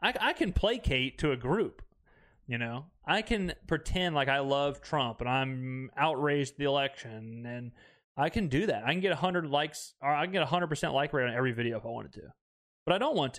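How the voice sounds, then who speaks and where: With a Mississippi accent, a man speaks at a fairly high pitch and a fairly quick pace with lively intonation, in a very clean recording with a silent background. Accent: Mississippi Southern. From US South, Mississippi. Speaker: podcast host. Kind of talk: casual monologue reacting to comments. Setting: home recording setup filmed for video. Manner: animated, laughing.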